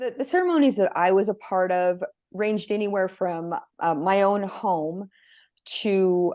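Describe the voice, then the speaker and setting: Against a quiet background, a woman with an American accent and a dark, mellow tone speaks at a medium pitch and a fairly slow pace with ordinary pitch variation. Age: 50s. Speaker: abuse survivor. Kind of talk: testimony. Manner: halting.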